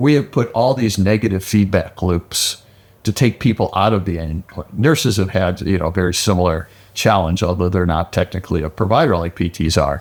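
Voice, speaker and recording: This man has a very deep, low pitch with ordinary pitch variation. He talks at a fairly quick pace. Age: 60s. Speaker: physical therapist and business executive. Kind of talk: podcast conversation.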